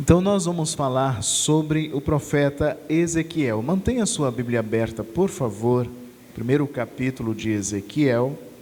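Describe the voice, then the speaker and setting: There is noticeable background noise as a man speaks at a fairly slow pace. His pitch is fairly high and his intonation lively. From Brazil, Natal (Rio Grande do Norte). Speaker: preacher. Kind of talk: sermon.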